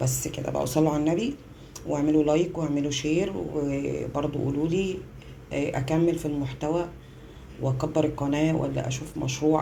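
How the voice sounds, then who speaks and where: Amid noticeable background noise and audible room echo, a woman with a very deep, low pitch talks at a moderate pace with ordinary pitch variation. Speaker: home cooking vlogger, mother. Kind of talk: casual cooking vlog. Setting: home kitchen, power cut. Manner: chatty, relaxed.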